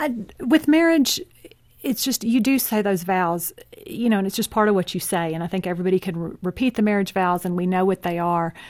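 The speaker has a Texan accent, a fairly quick pace and lively intonation. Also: woman, medium pitch for a woman. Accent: Texan American. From Texas (city upbringing). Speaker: author. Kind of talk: interview.

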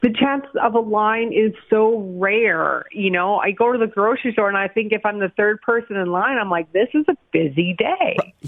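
A woman's ordinary speaking voice with a Canadian accent, fairly high in pitch with ordinary pitch variation, at a moderate pace with hardly any pauses. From Calgary, Alberta, Canada. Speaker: marketing business owner. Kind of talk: interview.

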